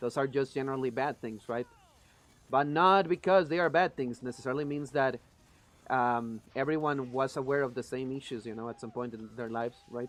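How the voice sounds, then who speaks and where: A man speaks with a Spanish accent at a moderate pace. His medium pitch carries a fairly even intonation. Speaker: gaming streamer. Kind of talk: live gameplay stream chat. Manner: a little quiet while focusing.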